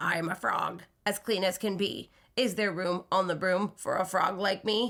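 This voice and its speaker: Putting on a croaky, raspy character voice, a woman speaks at a moderate pace and a medium pitch. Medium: read story.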